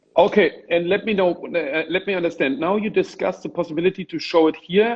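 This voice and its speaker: Speaking in a German accent, a man talks at a very fast pace in a high pitch. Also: ordinary pitch variation. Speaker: gallerist and Instagram live host. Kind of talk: casual interview. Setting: Instagram live video call.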